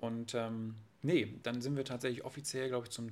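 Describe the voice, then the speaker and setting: With fairly even intonation and a medium pitch, the man has a normal speaking voice. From northern Germany, Friesland coast. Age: 20s. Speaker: real estate agent. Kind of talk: casual interview.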